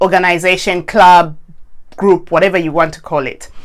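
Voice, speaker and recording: The speaker is a woman. Her pitch is medium. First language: not English. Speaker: coach. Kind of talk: casual chat. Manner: halting.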